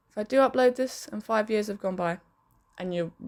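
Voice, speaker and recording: Speaking at a moderate pace, a woman with a London accent has a fairly high pitch. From London and southern England, partly raised in Spain. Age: 20s. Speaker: podcaster and pub manager. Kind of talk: casual vlog monologue. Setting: bedroom.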